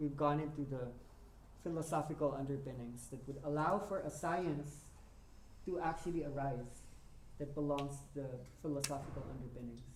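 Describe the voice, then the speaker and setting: Speech moves at a moderate pace, broken by long, frequent pauses. Noticeable background noise sits behind it. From Philippines, Manila. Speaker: workshop teacher. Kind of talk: workshop talk.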